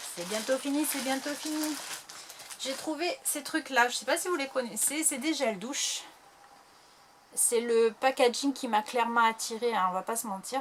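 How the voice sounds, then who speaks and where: A woman with a high-pitched voice speaks at a fairly slow pace. She leaves long, frequent pauses, with noticeable background noise behind her. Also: ordinary pitch variation. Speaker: YouTuber. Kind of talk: haul video. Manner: hesitant.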